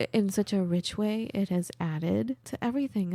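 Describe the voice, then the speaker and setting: A woman's medium-pitched, dark and mellow voice with ordinary pitch variation, dry and close with no echo on a very clean, silent recording. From Iran, immigrant to US. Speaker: podcast host and voice actor. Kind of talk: casual chat. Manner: animated.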